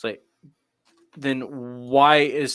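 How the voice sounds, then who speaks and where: Bright and sharp in tone, a voice with an American accent speaks at a moderate pace on a very clean recording with a silent background. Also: man. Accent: Midwestern accent others remark on. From US Midwest. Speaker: pastor. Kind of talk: panel discussion.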